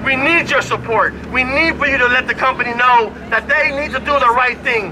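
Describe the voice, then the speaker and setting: A man with an extremely high pitch and ordinary pitch variation projects a raised voice at a moderate pace over noticeable background noise. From Puerto Rico. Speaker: newspaper ad salesman and union member. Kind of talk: protest rally speech. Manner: halting.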